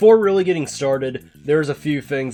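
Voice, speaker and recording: A man moves at a fairly quick pace with lively intonation while music plays in the background. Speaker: competitive racing game player. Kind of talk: game tutorial narration.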